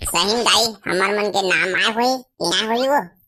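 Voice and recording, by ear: A woman's cartoonish character voice at medium pitch and a moderate pace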